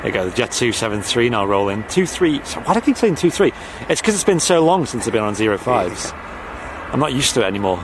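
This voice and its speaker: With very wide pitch swings and a very fast pace, a man talks over noticeable background noise. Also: medium pitch for a man. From north-west England, Manchester/Liverpool area. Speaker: aviation livestream host. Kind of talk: live commentary with casual chat. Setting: outdoors at airport viewing park.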